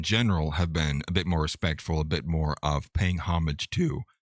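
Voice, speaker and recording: On a very clean recording with a silent background, a man's voice sounds dry and close with no echo. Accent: American. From US Pacific Northwest, Seattle. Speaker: political streamer. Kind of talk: live stream commentary.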